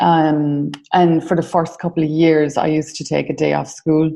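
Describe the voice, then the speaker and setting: A woman with an Irish accent talks fairly slowly in a very deep, low pitch, her tone dark and mellow and her intonation monotone and flat. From Ireland. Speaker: mentoring business founder. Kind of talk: interview. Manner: hesitant, many fillers.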